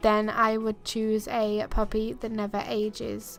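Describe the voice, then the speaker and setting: A woman talks here. Behind her, music is playing. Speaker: gaming YouTuber. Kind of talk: casual talk to camera.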